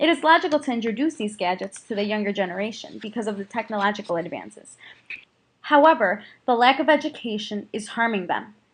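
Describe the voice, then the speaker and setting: Speaking at a very fast pace, a woman with a fairly high pitch sounds somewhat breathy, her intonation lively. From US Midwest, Chicago area. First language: Spanish. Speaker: student. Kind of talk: scripted narration.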